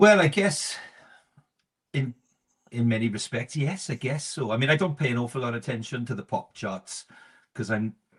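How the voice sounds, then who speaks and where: A man with a South Wales accent speaks at a moderate pace, somewhat breathy. His intonation is lively, broken by long, frequent pauses. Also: medium pitch for a man. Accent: South Wales Valleys. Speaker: musician. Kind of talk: interview answer.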